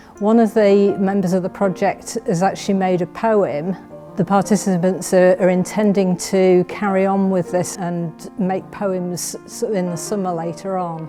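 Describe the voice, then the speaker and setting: A woman's intonation stays fairly even while music plays behind her. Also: medium pitch for a woman, fairly slow pace. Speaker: library staff. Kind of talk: casual talk to camera. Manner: hesitant, with fillers.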